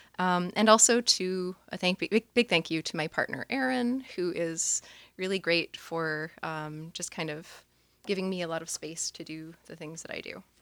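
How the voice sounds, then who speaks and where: This woman has an ordinary speaking voice, fairly low in pitch, with ordinary pitch variation. The recording is very clean with a silent background, and the sound is dry and close with no echo. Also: moderate pace. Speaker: poet and artist. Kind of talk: poetry reading. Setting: stage with audience.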